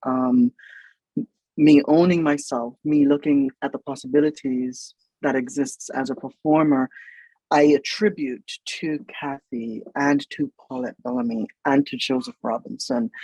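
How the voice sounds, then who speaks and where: Dry and close with no echo, a man speaks at a fairly slow pace in a dark, mellow tone. His pitch is fairly high, with ordinary variation. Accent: Jamaican. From Jamaica. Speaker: writer, producer and stage performer. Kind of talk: interview conversation. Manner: hesitant, many filler words.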